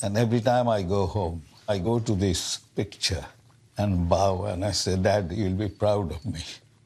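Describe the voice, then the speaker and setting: Somewhat breathy speech from a man, fairly low in pitch, with fairly even intonation. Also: moderate pace. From Bengal, India (now Bangladesh). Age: 70s. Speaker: retired doctor. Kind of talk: casual chat.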